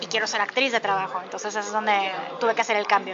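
A woman speaks in a fairly high, monotone voice with flat intonation over noticeable background noise. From Mexico. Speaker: actress and voice actor. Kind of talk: interview. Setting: bakery café.

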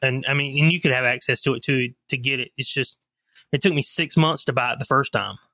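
A man with a Southern US accent speaks very fast in a fairly high voice, his tone bright and sharp, the sound dry and close with no echo. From coastal North Carolina (Leland, near Wilmington). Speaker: knife maker and salesman. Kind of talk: casual interview chat.

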